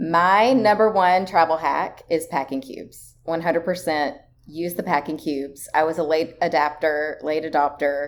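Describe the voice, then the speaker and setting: Speaking with a Tennessee accent at a moderate pace, the voice shows ordinary pitch variation and hardly any pauses. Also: woman, fairly low pitch for a woman. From rural Tennessee. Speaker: travel writer. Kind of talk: casual interview chat.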